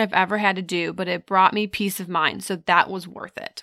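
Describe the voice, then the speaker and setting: Fairly quick and fairly even in intonation, a woman's medium-pitched voice, an unremarkable speaking voice, comes through a very clean recording with a silent background and a dry, close sound with no echo. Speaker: podcast host. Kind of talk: casual chat.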